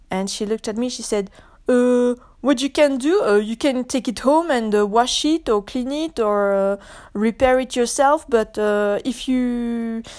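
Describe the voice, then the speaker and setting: A woman speaks in a French accent at a moderate pace. Her pitch is high, with ordinary pitch variation. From France. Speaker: podcaster. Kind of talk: solo rant monologue. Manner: animated.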